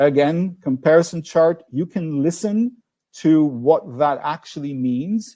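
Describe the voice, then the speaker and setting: Fairly slow in pace, a man speaks at a fairly high pitch with a dark, mellow tone. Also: ordinary pitch variation. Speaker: language test expert. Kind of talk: webinar Q&A. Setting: online webinar. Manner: halting, many fillers.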